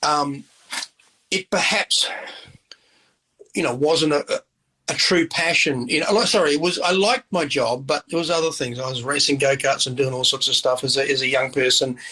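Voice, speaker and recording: A man's bright, sharp voice at fairly high pitch, with ordinary pitch variation, a moderate pace and long, frequent pauses, in a dry, close sound with no echo. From New Zealand, Christchurch. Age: 60s. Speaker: chef and restaurant owner. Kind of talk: interview conversation. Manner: casual, with many fillers and repetitions.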